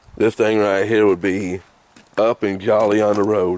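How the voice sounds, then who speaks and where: With noticeable noise behind him, a man keeps a moderate pace. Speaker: used car seller. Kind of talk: casual walkaround video. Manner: casual, conversational.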